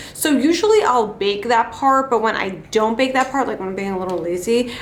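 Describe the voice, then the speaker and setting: The speaker talks at a fairly quick pace with an American accent and ordinary pitch variation. There is noticeable background noise and audible room echo. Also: woman. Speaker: beauty vlogger. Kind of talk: casual makeup tutorial chat. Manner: casual, chatty.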